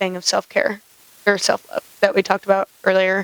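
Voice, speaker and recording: A woman talks at a medium pitch. The sound is dry and close, with no echo. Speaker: podcast co-host. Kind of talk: casual chat. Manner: halting; slow. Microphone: microphone keeps drifting away, sits close.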